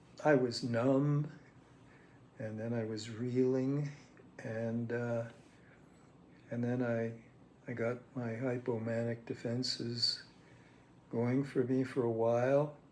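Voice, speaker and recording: Delivered at a very slow pace with long, frequent pauses, the monotone, flat intonation carries audible room echo. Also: man. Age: 80s+. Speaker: psychoanalytic lecturer. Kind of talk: reflective monologue. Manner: halting, many fillers.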